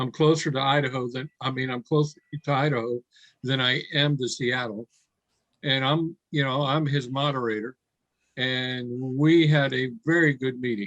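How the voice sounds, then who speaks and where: Using an ordinary speaking voice, this man keeps his medium pitch in fairly even intonation. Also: moderate pace. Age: 60s. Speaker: online event moderator. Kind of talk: casual chat.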